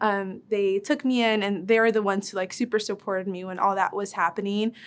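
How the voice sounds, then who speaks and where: In a Spanish accent, a woman with a medium pitch speaks at a fairly quick pace with fairly even intonation, on a very clean recording with a silent background. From West Texas, El Paso. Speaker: medical resident. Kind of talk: casual interview testimony.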